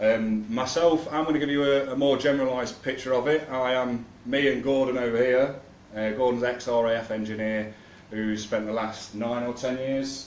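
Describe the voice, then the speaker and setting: With an East Midlands accent, a man at medium pitch keeps a fairly even intonation and moderate pace amid audible room echo. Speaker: activist speaker. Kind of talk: public talk. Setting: room with live audience, no mic. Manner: loud; halting.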